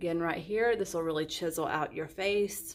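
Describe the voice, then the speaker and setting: At a fairly slow pace, a woman with a fairly low voice speaks with lively intonation. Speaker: beauty consultant. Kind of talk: tutorial.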